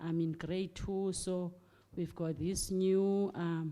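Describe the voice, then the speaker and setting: A woman with a South African accent speaks very slowly in a dark, mellow tone, her fairly low pitch flat and monotone. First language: Xhosa. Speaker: primary school teacher. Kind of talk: audience comment at book launch discussion. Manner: halting, many fillers and repetitions.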